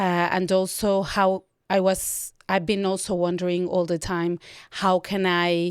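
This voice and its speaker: A woman speaks at a fairly slow pace with a Spanish accent, her pitch fairly low. Her intonation is monotone and flat, and the recording is very clean with a silent background. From Mexico. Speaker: documentary photographer. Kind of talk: interview.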